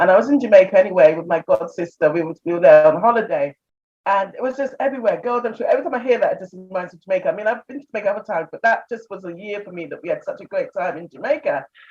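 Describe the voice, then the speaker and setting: Speaking at a very fast pace with hardly any pauses, a woman with a British accent uses lively intonation, medium pitch and big swings in loudness. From England. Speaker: expat interviewee. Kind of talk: casual interview storytelling.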